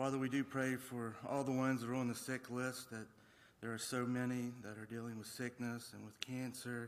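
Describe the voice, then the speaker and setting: A man's medium-pitched, monotone, flat voice at a moderate pace. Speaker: scripture reader and prayer leader. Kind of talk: prayer. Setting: church.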